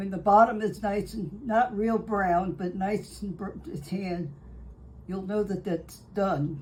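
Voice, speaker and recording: A woman with a medium pitch speaks at a fairly slow pace. Her voice is somewhat breathy, and her intonation is fairly even. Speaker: home baker. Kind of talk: tutorial. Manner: halting.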